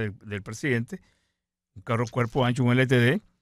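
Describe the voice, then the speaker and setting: A man's normal speaking voice at medium pitch and a moderate pace, dry and close with no echo, on a very clean recording with a silent background. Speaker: retired navy admiral, political exile. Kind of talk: radio interview.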